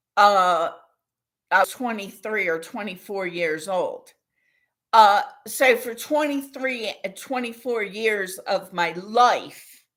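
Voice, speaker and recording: At a very slow pace, a woman speaks at a medium pitch with ordinary pitch variation and big swings in loudness. The recording is very clean, with a silent background. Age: 60s. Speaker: vlogger. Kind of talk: personal monologue. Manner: halting.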